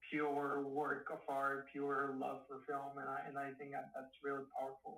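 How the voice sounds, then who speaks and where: In a Spanish accent, a man speaks at a fairly slow pace, his fairly high voice bright and sharp in tone. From Mexico. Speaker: filmmaker. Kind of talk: casual interview. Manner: halting.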